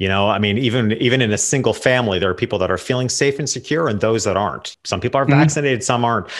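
A man talks at a very fast pace with hardly any pauses. The background is quiet. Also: ordinary pitch variation. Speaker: portrait photographer and business coach; business coach. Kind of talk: interview conversation. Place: home room. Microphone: studio mic.

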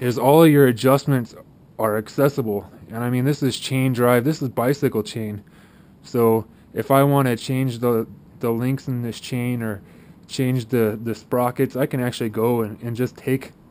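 With fairly even intonation, the man talks at a moderate pace. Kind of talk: casual explanation of equipment. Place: street. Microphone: phone near.

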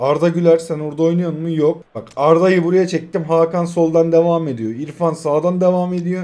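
A man's high-pitched, dark, mellow voice at a fairly quick pace. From Turkey. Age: 20s. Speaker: mobile gaming YouTuber; mobile game streamer. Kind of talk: gameplay live commentary. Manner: animated. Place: home room.

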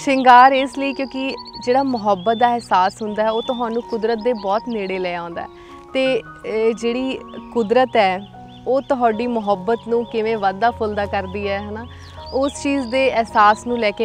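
Clear music plays behind a woman whose fairly high pitch shows ordinary variation, in a dry sound with no echo. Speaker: poet. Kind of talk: casual talk to camera. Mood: warm, gentle, expressive. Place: forest.

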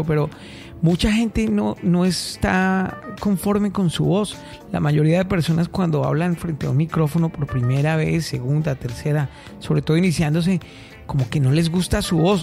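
The delivery moves at a moderate pace. Music plays in the background. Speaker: podcast host. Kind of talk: interview question.

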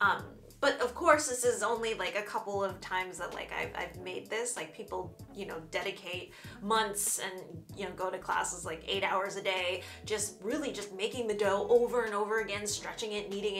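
With clear music in the background, a woman talks at a moderate pace and ordinary pitch variation. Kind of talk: casual cooking vlog chat. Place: kitchen. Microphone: camera far.

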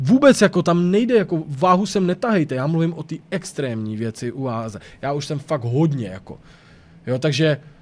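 A man with a fairly high pitch sounds animated at a moderate pace. His voice has very wide pitch swings and big swings in loudness. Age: 30s. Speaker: YouTuber; streamer. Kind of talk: casual vlog monologue. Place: home room. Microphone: studio mic.

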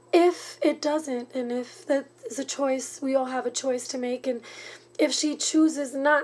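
A woman's high voice at a fairly slow pace, fairly even in intonation, over light background noise. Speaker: vlogger giving advice. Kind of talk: casual vlog chat. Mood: earnest, caring. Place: home room. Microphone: webcam.

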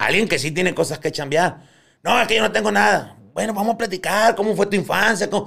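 Against a quiet background, a man talks at a fairly quick pace in a high pitch for a man, with ordinary pitch variation. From Colombia (Barranquilla); Colombia. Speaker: clinical psychologist, former prison psychologist. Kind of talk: casual chat. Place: studio. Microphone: studio mic.

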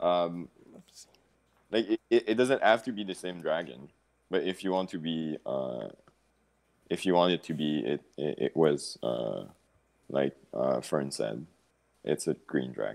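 A man speaks at an extremely low pitch with vocal fry. His pace is fairly slow, broken by long, frequent pauses. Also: ordinary pitch variation, slightly mellow tone.

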